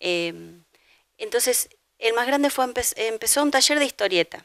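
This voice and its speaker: In a Rioplatense accent, a woman speaks at a moderate pace in a high voice with lively intonation. The sound is dry with no echo, and the background is quiet. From Argentina, Buenos Aires. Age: 50s. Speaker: painter. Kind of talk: interview. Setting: at home. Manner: halting. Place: home room. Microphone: handheld.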